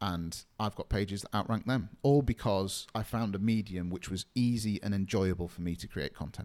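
In a plain, everyday voice, a man speaks at a fairly low pitch with ordinary pitch variation. His moderate pace has hardly any pauses, on a very clean recording with a silent background. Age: 30s. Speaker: SEO agency co-founder. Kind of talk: podcast interview.

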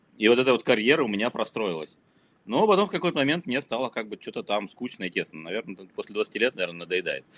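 Talking very fast, a man lets his pitch swing very widely. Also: medium pitch for a man, dry, close sound with no echo. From former Soviet Union (Ukraine, Kazakhstan, Moscow). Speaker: marketer and startup founder. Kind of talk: casual interview chat.

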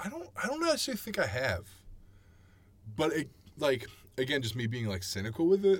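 Talking at a fairly quick pace with long, frequent pauses, a man with a fairly high pitch and vocal fry shows very wide pitch swings. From Chicago suburbs, Illinois. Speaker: musician. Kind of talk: casual chat.

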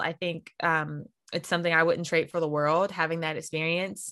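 A woman with an American accent and a plain, everyday voice speaks at a moderate pace in a fairly low pitch, recorded very cleanly against a silent background. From North Carolina, US South. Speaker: composer and pageant winner. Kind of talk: interview.

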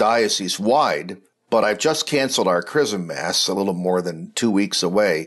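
A man with an unremarkable speaking voice talks at a fairly low pitch with ordinary variation over a quiet background. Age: 60s. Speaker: Episcopal bishop. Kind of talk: reflective talk or homily.

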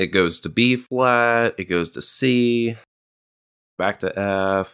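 This is a man speaking at a medium pitch. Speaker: podcast co-host, drum teacher and musician. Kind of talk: casual podcast chat.

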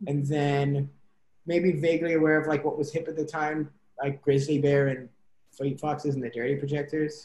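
Somewhat breathy and monotone, a man with fairly high pitch speaks in a flat way at a moderate pace. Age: 20s. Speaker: musician. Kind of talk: interview. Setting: college radio interview.

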